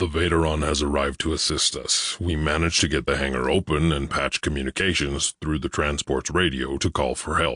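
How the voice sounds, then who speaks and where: Using a put-on character voice, a man talks at a fairly quick pace in a very deep, low pitch with hardly any pauses. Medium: read story. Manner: blunt, plain-spoken.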